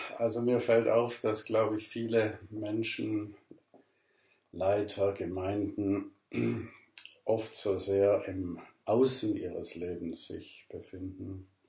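A man with a fairly low pitch and a dark, mellow tone speaks at a very slow pace with long, frequent pauses. His voice is somewhat breathy, his intonation fairly even, and audible room echo surrounds it. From southern Germany, Ravensburg (Swabia). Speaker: pastor. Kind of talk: interview. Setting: at his home.

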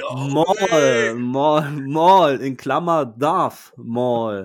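A fairly high-pitched man talks very slowly, with lively intonation. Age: 40s. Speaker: podcast host. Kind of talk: casual chat. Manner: halting.

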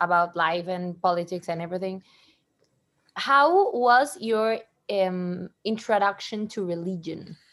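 A woman with a Spanish accent, at a fairly slow pace and with ordinary pitch variation. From Mexico. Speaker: podcast host. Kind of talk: casual chat. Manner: halting.

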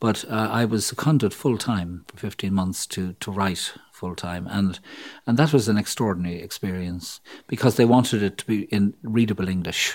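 On a very clean recording with a silent background, a man with fairly low pitch and ordinary pitch variation speaks with big swings in loudness. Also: moderate pace. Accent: Irish. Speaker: psychologist and author. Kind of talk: interview.

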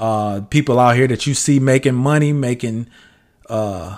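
A man talks at medium pitch with ordinary pitch variation, in an ordinary speaking voice. The recording is very clean, with a silent background. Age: 40s. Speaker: podcast host, aspiring entrepreneur. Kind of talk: casual solo monologue.

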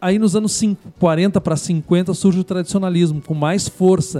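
Music plays in the background. A man with a high voice speaks in a southern Brazilian accent, the sound dry and close with no echo. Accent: gaúcho Brazilian Portuguese. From southern Brazil, Rio Grande do Sul frontier (Bagé). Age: 50s. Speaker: historian and journalist. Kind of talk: radio interview. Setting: community radio studio.

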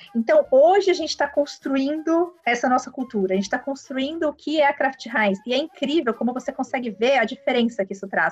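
Lively intonation carries a woman's high-pitched voice. Noticeable background noise sits behind her. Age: 30s. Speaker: HR executive. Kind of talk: interview. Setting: remote, home office. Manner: halting, many fillers.

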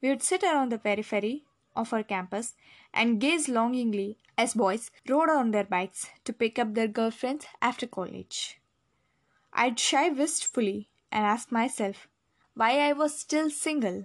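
Against a quiet background, a woman with an Indian accent speaks fairly slowly at a fairly high pitch, with ordinary pitch variation and very even loudness. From India, Delhi. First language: Hindi. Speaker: memoir narrator. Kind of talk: scripted narration.

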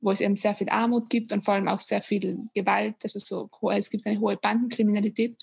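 Somewhat breathy and fairly high, a woman's voice moves at a fairly quick pace with fairly even intonation. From Austria. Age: 20s. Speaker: former volunteer, engineering student. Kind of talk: interview. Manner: halting, many fillers.

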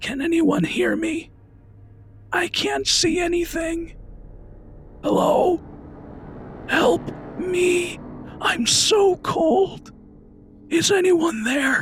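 Doing a put-on character voice, a man speaks very slowly in a raspy, extremely high pitch. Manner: pleading, frightened.

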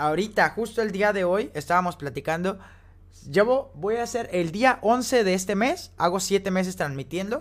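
A man's high-pitched voice at a moderate pace, with ordinary pitch variation, in a very clean recording against a silent background. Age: 20s. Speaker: podcast co-host and game streamer. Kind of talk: casual chat.

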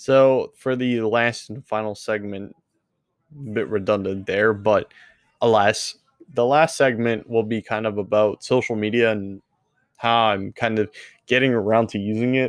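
Speaking fairly slowly, a man uses an unremarkable speaking voice at a medium pitch with fairly even intonation. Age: 20s. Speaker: gaming streamer and podcast host. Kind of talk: solo casual update monologue.

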